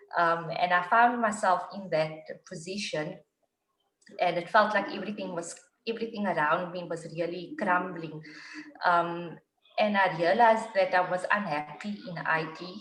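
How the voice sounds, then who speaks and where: Speaking at a fairly slow pace, a woman with an unremarkable speaking voice keeps a medium pitch and ordinary pitch variation. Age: 40s. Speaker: IT worker turning life coach. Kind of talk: casual chat.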